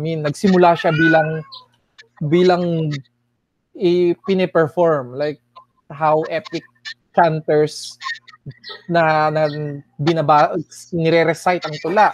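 A man's very slow, monotone, flat delivery with long, frequent pauses and a dry sound with no echo. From Milagros, Masbate, Philippines; Philippines. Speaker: writer and poet; poet. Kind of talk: radio interview. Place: home room. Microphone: earbuds.

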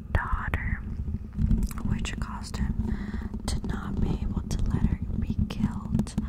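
A soft-spoken woman's whispering at a fairly slow pace over loud background noise. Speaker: ASMR creator. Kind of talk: soft ASMR rambling chat. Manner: soft whisper, mouth at mic. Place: home room. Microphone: studio mic.

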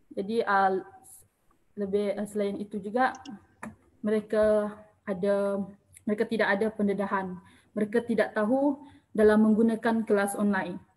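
Moderate pace broken by long, frequent pauses, somewhat breathy, with monotone, flat intonation. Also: woman, medium pitch for a woman. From Malaysia, Orang Asli (Temiar) community. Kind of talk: online panel forum moderation. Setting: Facebook Live online forum. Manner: hesitant, many fillers.

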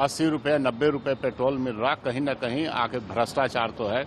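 The delivery has ordinary pitch variation and a moderate pace. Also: man.

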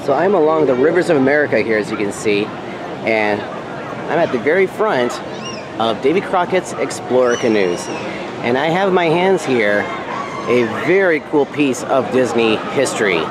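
There is noticeable background noise as a man speaks at a moderate pace in a dry sound with no echo. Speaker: vlogger. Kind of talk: casual vlog chat. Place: waterside. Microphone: phone near.

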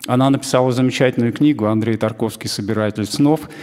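Fairly level intonation from a man. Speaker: event host. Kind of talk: formal introduction. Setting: stage with audience. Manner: formal. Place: hall. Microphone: handheld.

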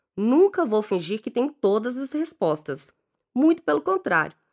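Speaking at a moderate pace, a woman lets her pitch swing very widely in a very clean recording with a silent background. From Belo Horizonte, Minas Gerais, Brazil. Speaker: life coach. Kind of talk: scripted narration.

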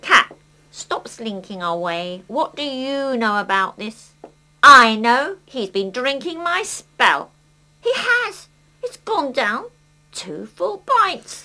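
Using a cartoonish character voice, a woman speaks at a very slow pace with a high pitch and very wide pitch swings. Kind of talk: children's puppet play. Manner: brisk, dry, businesslike.

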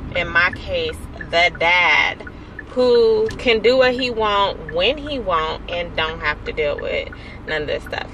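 A woman speaks in a dry sound with no echo. Light background noise sits underneath. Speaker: vlogger. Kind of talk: casual vlog chat. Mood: mildly annoyed, venting. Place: car. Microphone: phone near.

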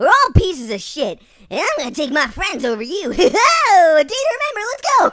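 A woman puts on a character voice at an extremely high pitch. She talks at a fairly quick pace with big pitch swings and a fairly bright tone.

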